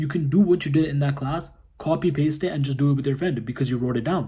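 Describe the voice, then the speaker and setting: With a dark, mellow tone and a somewhat breathy voice, a man speaks at a fairly quick pace with a fairly high pitch. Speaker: jiu-jitsu content creator. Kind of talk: casual tutorial. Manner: fast.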